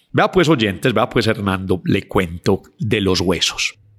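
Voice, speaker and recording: A man with a normal speaking voice and lively intonation, in a very clean recording with a silent background and a dry, close sound with no echo. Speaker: anthropologist. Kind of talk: interview, storytelling about local history.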